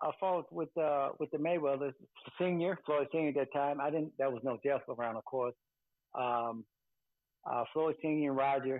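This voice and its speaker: A man speaks at a fairly quick pace in a normal speaking voice, pitched fairly high. The background is quiet and the sound is dry with no echo. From US Midwest (Chicago, then Grand Rapids, Michigan); Michigan. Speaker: boxing trainer and cutman; boxing trainer. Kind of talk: interview. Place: home room. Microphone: video call.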